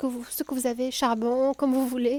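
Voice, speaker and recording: A woman's high-pitched voice in a southern French accent, relaxed and gentle in tone, dark and mellow, with monotone, flat intonation and a dry, close sound with no echo. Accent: southern French (Midi). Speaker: cooking video host. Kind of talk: cooking tutorial. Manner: hesitant, with fillers and repetitions; relaxed, gentle.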